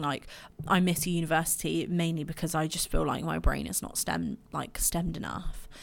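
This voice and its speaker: Talking at a fairly quick pace, a woman speaks in an English accent. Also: very clean recording, silent background. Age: 20s. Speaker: podcast host. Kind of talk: personal monologue. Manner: hesitant, filler-heavy.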